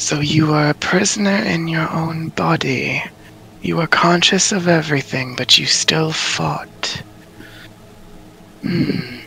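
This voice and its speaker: A man puts on a character voice pitched fairly high for a man. He talks at a fairly slow pace, with long, frequent pauses. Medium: actual play. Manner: measured, inquisitive.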